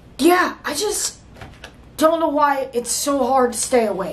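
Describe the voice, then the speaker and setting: Audible room echo rings around a woman as she talks. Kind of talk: comedy sketch dialogue. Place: home room.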